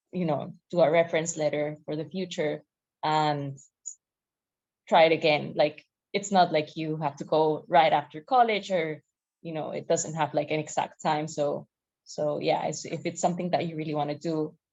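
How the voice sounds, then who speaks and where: A woman with a non-native accent, a very deep, low voice, fairly even intonation and long, frequent pauses. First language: not English. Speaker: graduate student panelist. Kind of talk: panel discussion.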